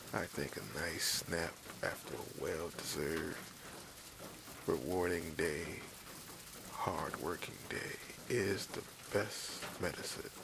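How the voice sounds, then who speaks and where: Whispering, a man speaks at a very slow pace. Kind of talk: ASMR relaxation whisper for sleep. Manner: whispered, slow, calm.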